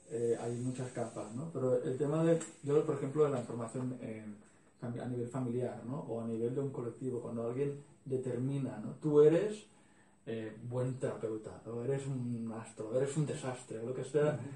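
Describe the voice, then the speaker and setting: At a moderate pace, a man speaks at a medium pitch with fairly even intonation, and the room echo is audible. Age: 40s. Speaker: workshop participant. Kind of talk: group discussion.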